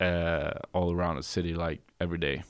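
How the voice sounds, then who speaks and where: A man with a very deep, low voice in a Norwegian accent, at a moderate pace, on a very clean recording with a silent background. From Norway, Bergen. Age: 30s. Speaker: comedian. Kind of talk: casual chat. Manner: halting.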